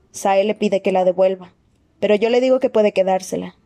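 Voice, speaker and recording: Speaking at a fairly quick pace, a woman uses a medium-pitched, dark, mellow tone in a dry, close sound with no echo. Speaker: audiobook narrator. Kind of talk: reading aloud. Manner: dramatic reading.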